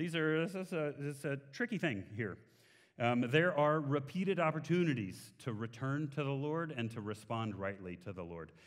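With a Texan accent, a man speaks fairly high, his pitch swinging very widely. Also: quiet background. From Texas. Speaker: guest preacher. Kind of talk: sermon. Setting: church. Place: church. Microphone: headset.

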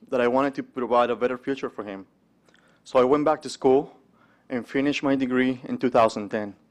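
Against a quiet background, a man with a Spanish accent speaks with fairly even intonation. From Mexico. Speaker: entrepreneur and investment manager giving a testimony. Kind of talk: speech at a conference breakfast. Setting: stage with audience. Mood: earnest, personal. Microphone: podium.

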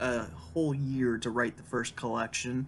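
Someone speaks at a moderate pace while faint music plays in the background. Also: man. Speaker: writer vlogger. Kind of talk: casual vlog chat. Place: home room. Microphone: webcam.

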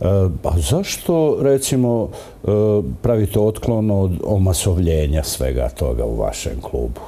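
He talks very slowly. The voice belongs to a man. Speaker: TV presenter. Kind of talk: TV interview. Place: studio. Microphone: lapel.

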